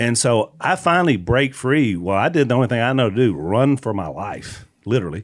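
The speaker talks at a fairly quick pace in a Southern US accent, with hardly any pauses and very wide pitch swings. The recording is very clean, with a silent background. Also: man, medium pitch for a man. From Louisiana. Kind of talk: casual chat with testimony.

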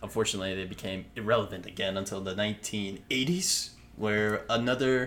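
This is an unremarkable speaking voice at a moderate pace with ordinary pitch variation. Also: man. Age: 20s. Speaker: podcast host. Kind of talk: casual chat.

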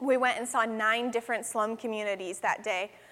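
A woman's fairly high voice carries her words along at a moderate pace. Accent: American. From western New York, US. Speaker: guest preacher and missionary. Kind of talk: sermon. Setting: church service. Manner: animated.

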